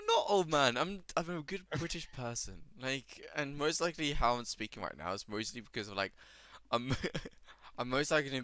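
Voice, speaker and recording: A man speaks at a moderate pace with a fairly high pitch. His tone is bright and sharp, and his intonation is lively. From British. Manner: talks this way habitually.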